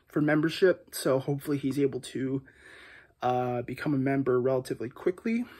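A man talks fairly quickly, with a quiet background behind him. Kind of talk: casual vlog chat. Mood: reflective, calm. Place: home room. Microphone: phone near.

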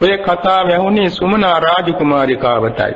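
A man with a high pitch and ordinary pitch variation speaks at a very slow pace, with audible room echo and noticeable background noise. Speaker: Buddhist monk. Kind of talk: sermon. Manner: formal.

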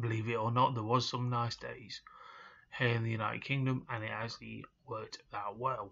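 With an East Midlands accent, a man talks at a fairly quick pace in a monotone, flat intonation. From England. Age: 30s. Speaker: hospitality worker and vlogger; vlogger. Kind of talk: personal vlog rant. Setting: at home in his room. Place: home room. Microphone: webcam.

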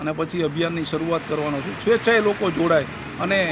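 A man talks in a fairly high pitch while noticeable background noise plays behind him. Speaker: retired police officer, cow-welfare volunteer. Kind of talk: interview answers.

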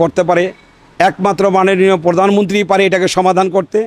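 A man speaks at a high pitch. The sound is dry with no echo. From Bangladesh, Munshiganj; Bangladesh. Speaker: petrol pump owner. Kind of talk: street interview. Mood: concerned about business situation. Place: office. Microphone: handheld.

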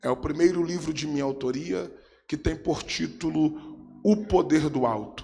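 Ordinary pitch variation shapes a man's speech at a moderate pace. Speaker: preacher. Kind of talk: sermon. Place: church. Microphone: handheld.

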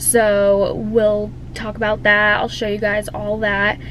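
Very slowly, a woman speaks in a dry sound with no echo, over light background noise. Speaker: hairstylist vlogger. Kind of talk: casual vlog chat. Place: car. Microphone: phone near.

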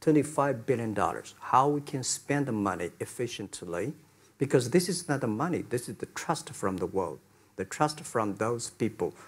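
A man's somewhat breathy voice with lively intonation, at a moderate pace. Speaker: business founder on panel. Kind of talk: interview answer. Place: hall. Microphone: lapel.

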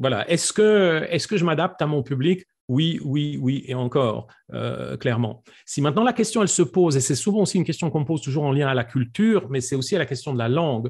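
A man speaks at a fairly quick pace with lively intonation and a fairly high pitch. His voice is somewhat breathy against a quiet background. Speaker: public speaking coach. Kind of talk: online presentation Q&A. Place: home room. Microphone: studio mic.

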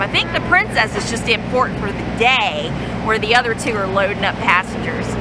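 Over loud background noise, a woman speaks at a moderate pace with ordinary pitch variation and a dry sound with no echo. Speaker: travel vlogger. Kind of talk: casual vlog chat. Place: street. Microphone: phone near.

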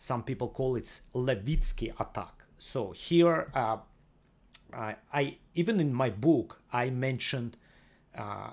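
A man with vocal fry at a slow pace. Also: medium pitch for a man, lively intonation.

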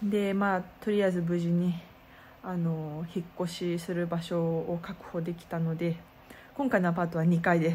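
A woman with a fairly low pitch speaks at a moderate pace over light background noise. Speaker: street performer vlogger. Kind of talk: casual vlog chat. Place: home room. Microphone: phone near.

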